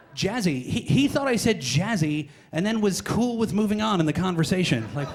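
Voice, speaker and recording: A man talks at a fairly quick pace with high pitch and very wide pitch swings. Audible room echo and noticeable background noise surround him. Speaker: stand-up comedian. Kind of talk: stand-up. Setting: stage with audience. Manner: fast; jittery.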